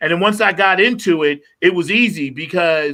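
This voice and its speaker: A man with an American accent talks at a high pitch with very wide pitch swings. His tone is bright and sharp. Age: 60s. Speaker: musician. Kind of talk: casual chat.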